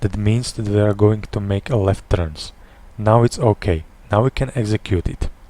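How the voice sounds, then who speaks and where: At a moderate pace, a man with a non-native accent speaks in a fairly low pitch and fairly even intonation, the sound dry and close with no echo. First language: not English. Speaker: airline captain. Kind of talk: flight simulator tutorial. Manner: hesitant, stuttering.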